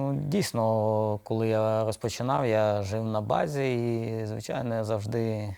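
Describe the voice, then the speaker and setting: The man's medium-pitched voice has a dark, mellow tone, very even loudness and fairly even intonation, in a very clean recording with a silent background. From Odesa, Ukraine. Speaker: professional footballer, midfielder. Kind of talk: casual interview. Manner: halting, many fillers.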